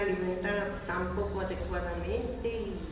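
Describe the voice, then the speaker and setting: Strong room echo and noticeable background noise surround a woman who speaks at a very slow pace. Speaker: product testimonial giver. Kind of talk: testimonial interview answer. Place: hall.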